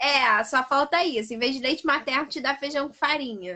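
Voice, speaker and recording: At a moderate pace, a woman speaks in a strong Paraná accent, her high pitch showing ordinary variation. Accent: strong Paraná accent, drops some Rs and Ss. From Brazil, interior of Paraná (small town). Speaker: pedagogy student. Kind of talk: casual chat. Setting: live video stream.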